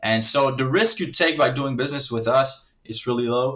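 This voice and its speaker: This is a man speaking. He has a French accent. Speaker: marketing agency owner. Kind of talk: sales pitch. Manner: halting, many filler words.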